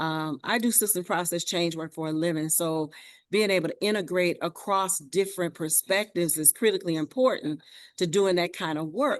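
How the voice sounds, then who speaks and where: A woman's voice with ordinary pitch variation. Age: 60s. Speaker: community organization leader. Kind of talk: panel discussion response.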